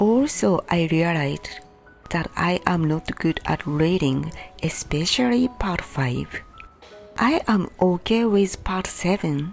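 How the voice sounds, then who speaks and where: A woman with a Japanese accent speaks at a very slow pace and a fairly low pitch. Her intonation is lively, with music in the background. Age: 50s. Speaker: English learner. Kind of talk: casual talk to camera.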